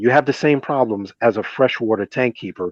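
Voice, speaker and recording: A man's medium-pitched voice with an American accent and ordinary pitch variation, dry and close with no echo, over a quiet background. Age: 50s. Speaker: aquarium hobbyist presenter. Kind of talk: presentation. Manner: animated.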